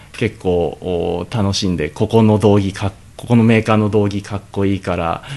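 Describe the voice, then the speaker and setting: This man has a normal speaking voice with a fairly low pitch. He talks at a moderate pace with fairly even intonation. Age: 20s. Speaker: Brazilian jiu-jitsu fighter and gym owner. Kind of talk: radio interview. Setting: radio studio.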